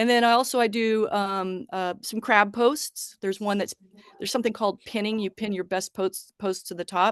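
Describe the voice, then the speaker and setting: A woman with a normal speaking voice talks at medium pitch and a moderate pace. Her intonation is fairly even, and the sound is dry and close with no echo. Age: 60s. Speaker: social media contractor. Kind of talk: public meeting presentation.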